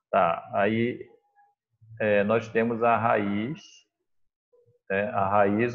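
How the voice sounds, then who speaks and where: This is a man talking. His pitch sits fairly low. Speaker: math teacher. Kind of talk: online class lesson. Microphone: unstable, freezing internet connection.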